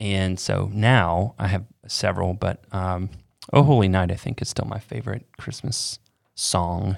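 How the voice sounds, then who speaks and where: A man with an American accent, moderate pace and ordinary pitch variation on a very clean recording with a silent background. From Florida. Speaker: church podcast co-host. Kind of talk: casual chat.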